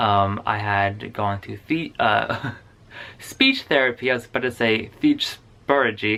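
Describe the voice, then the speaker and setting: Speaking fairly slowly with fairly even intonation, a man uses a bright, sharp tone on a very clean recording with a silent background. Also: medium pitch for a man. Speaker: vlogger. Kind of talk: casual vlog talk. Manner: halting with many fillers.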